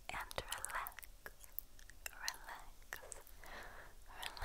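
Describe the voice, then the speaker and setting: A woman whispers in a soothing tone. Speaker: ASMR creator. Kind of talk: soft ASMR relaxation talk. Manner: slow soothing whisper, repeated words.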